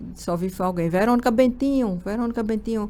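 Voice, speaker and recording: This is a woman's voice. She speaks with a Pernambuco accent. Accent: Araripina, Pernambuco backlands. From Brazil, Pernambuco backlands (Araripina). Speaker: human resources manager. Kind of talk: interview.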